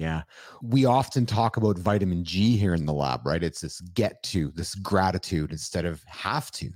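Here a man speaks with a very deep, low pitch, lively intonation and an energetic tone. The recording is very clean, with a silent background. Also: moderate pace. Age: 50s. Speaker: podcast host. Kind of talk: casual interview chat.

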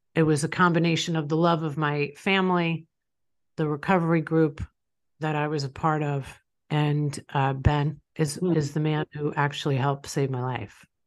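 In a New York accent, a woman with a very deep, low pitch speaks at a moderate pace with monotone, flat intonation over a quiet background. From Long Island, New York. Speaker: business owner and author. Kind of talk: personal testimony interview.

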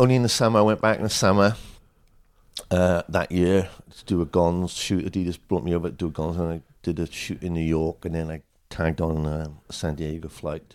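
A man with a South Wales accent, a very deep, low pitch and ordinary pitch variation at a fairly quick pace, with big swings in loudness on a very clean recording with a silent background. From Wales, Swansea. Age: 50s. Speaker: skateboard photographer. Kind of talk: interview. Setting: at home.

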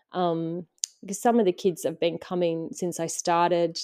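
In a very clean recording with a silent background, a woman with an Australian accent speaks at a moderate pace, with a fairly low pitch, a dark, mellow tone and fairly even intonation. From Western Australia. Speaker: nature educator. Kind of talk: interview.

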